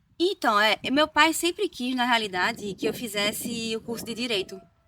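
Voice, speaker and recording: The speech comes at a fairly slow pace with lively intonation. The sound is dry and close, with no echo. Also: woman. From Northeast Brazil, Recife, Pernambuco. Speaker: nurse. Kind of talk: casual interview chat.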